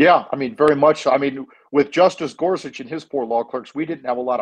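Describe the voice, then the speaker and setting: A man with an American accent talks at a very fast pace. His pitch is fairly high, with ordinary variation. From Iowa, Des Moines. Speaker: lawyer and former Senate staffer. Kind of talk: interview.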